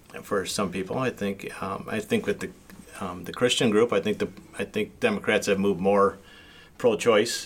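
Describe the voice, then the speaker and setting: Over noticeable background noise, a man talks at a moderate pace in a fairly low pitch with fairly even intonation. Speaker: city council member. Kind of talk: casual interview.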